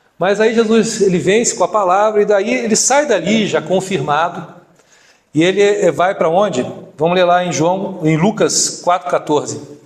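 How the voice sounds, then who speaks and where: Loudness stays very even at a moderate pace. Pitch varies in an ordinary way. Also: man, high pitch for a man. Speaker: deacon preacher. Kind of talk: sermon.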